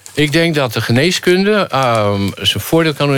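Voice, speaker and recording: An ordinary speaking voice moves at a fairly slow pace with lively intonation. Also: man. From Rotterdam, Netherlands. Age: 50s. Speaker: philosophy lecturer. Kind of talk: casual chat.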